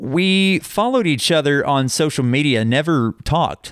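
With a plain, everyday voice, a man speaks at a moderate pace with lively intonation and a fairly high pitch. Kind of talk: heartfelt on-air-style chat, warm thank-you sign-off to the host. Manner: earnest, warm and sincere, gushing with gratitude.

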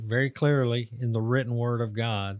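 With a dry, close sound and no echo, a man in an American accent talks at a medium pitch with fairly even intonation in an unremarkable speaking voice. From United States. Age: 50s. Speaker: podcast host. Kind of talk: casual chat.

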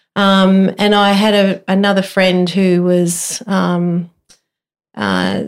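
In an Australian accent, a woman speaks at a medium pitch with monotone, flat intonation. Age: 50s. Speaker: amateur runner. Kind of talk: casual chat.

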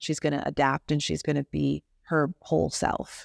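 Delivered at a moderate pace with an American accent, the speech sounds dry and close with no echo, in a very clean recording with a silent background. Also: woman. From US Midwest, Chicago suburbs. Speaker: songwriter and singer. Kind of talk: interview conversation.

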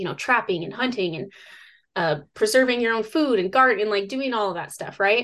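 Over a quiet background, a woman speaks at a fairly quick pace in a normal speaking voice. Her intonation is lively. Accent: American. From US Northwest (northern Idaho). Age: 30s. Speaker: survivalist and outdoor educator. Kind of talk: interview.

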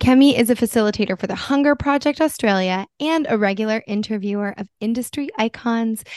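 In a normal speaking voice with an American accent, a woman talks at a moderate pace and fairly high pitch, her pitch varying in an ordinary way, in a dry, close sound with no echo and a quiet background. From US East Coast. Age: 30s. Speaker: podcast co-host. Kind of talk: interview, casual chat.

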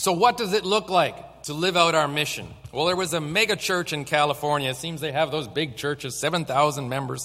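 Fairly high in pitch, a man speaks at a fairly quick pace with ordinary pitch variation and hardly any pauses. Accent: Canadian. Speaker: pastor. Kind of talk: sermon. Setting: church. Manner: fast.

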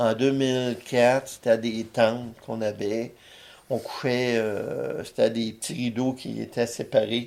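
At a very slow pace, a man with a medium pitch speaks in a monotone, flat intonation. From Quebec, Abitibi. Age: 60s. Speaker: war veteran. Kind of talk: casual interview.

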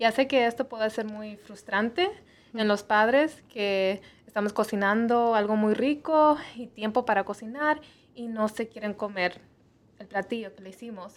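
The speaker has a plain, everyday voice. Delivery is fairly slow, with ordinary pitch variation. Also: woman, fairly high pitch for a woman. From US Midwest (Missouri), Mexican parents. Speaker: nutritionist. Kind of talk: interview on health show.

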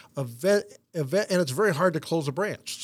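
A man's voice with ordinary pitch variation. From South Korea (American missionary family). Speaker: banker and investor. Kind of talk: interview. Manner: halting, many fillers.

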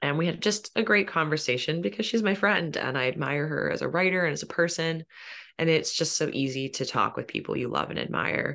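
Against a quiet background, a woman with a very deep, low pitch and a bright, sharp tone talks at a fairly quick pace with lively intonation and vocal fry. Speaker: romance author. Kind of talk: interview.

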